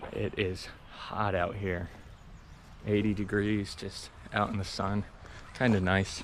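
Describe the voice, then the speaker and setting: Noticeable background noise sits behind a man's voice. His pitch is fairly low and his intonation monotone and flat. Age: 20s. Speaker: hiking vlogger. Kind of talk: casual vlog monologue. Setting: outdoors on a hiking trail.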